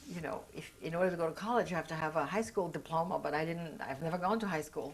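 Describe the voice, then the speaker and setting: A woman speaks with a German accent. Her pitch is fairly low. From Austria. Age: 60s. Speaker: Holocaust survivor. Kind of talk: oral history interview. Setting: recorded interview.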